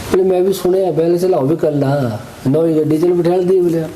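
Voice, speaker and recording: A man speaks with a Pahadi accent and ordinary pitch variation. Background noise is noticeable. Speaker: wedding photographer and vlogger. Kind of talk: storytelling in pahadi dialect. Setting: outdoors.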